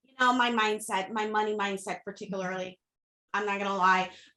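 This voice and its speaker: A woman with a slight Haitian accent speaks at a fairly quick pace, her fairly high voice bright and sharp in tone. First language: Haitian Creole / French. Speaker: social media coach, entrepreneur. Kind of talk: interview podcast. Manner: casual, emphatic.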